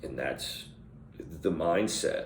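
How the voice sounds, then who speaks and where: This man takes a fairly slow pace, and the room around him gives off an audible echo. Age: 50s. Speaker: vlogger who stutters. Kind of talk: personal reflection monologue. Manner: halting with repetitions.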